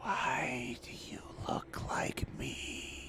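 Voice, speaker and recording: Against loud background noise, a man whispers in a hoarse, put-on character voice. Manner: whispering, as if down a long tube.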